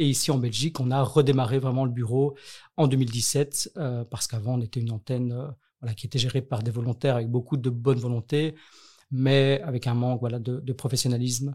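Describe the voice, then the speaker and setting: A man talks at a fairly quick pace in a dark, mellow, somewhat breathy tone, his intonation fairly even. The recording is very clean with a silent background. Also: medium pitch for a man. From Belgium, Brussels. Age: 30s. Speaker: nonprofit director. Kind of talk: interview. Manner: hesitant, many fillers.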